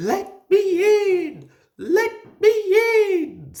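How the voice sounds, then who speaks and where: Extremely high pitch in a put-on character voice. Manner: spooky.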